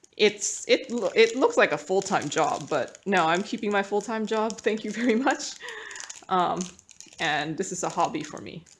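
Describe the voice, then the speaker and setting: Lively intonation from a medium-pitched woman at a moderate pace, big swings in loudness, and noticeable background noise. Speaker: craft hobby YouTuber. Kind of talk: casual hobby tutorial. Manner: chatty, hesitant with fillers. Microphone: tablet built-in mic.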